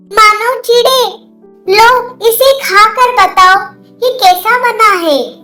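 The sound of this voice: A female-sounding voice does a cartoonish character at an extremely high pitch and a very slow pace. Faint music plays in the background.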